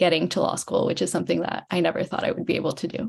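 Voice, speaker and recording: A woman talks over noticeable background noise. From Miami, Florida. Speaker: law student. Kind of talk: panel webinar introduction. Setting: webinar.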